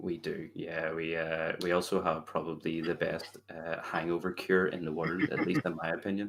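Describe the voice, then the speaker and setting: With hardly any pauses, a man with a very deep, low pitch talks at a moderate pace in a monotone, flat intonation. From Northern Ireland, Belfast. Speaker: game streamer. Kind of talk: podcast interview.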